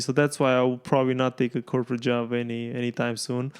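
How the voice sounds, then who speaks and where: Speaking at a very fast pace, a man with a Romanian accent holds a medium pitch. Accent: foreign accent, Romanian. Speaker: entrepreneur and comedian. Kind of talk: casual chat. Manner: halting, many fillers.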